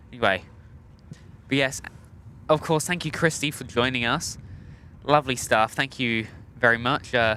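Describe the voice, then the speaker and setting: A man with a British accent talks at a medium pitch and a moderate pace, with ordinary pitch variation. His tone is bright and sharp, broken by long, frequent pauses. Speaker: plane spotting livestream host. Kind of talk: casual live stream chat. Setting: outdoors at an airport. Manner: casual, hesitant with fillers.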